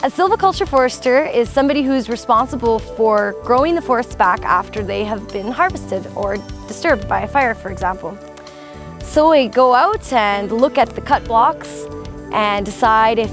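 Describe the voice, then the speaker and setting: A woman talks with clear music in the background. The sound is dry, with no echo. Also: moderate pace. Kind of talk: interview answer. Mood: cheerful, smiling. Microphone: lapel.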